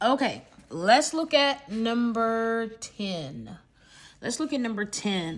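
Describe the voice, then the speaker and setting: This woman talks at a very slow pace with lively intonation, in a very clean recording with a silent background. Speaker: math teacher. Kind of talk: tutorial. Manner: casual, filler words.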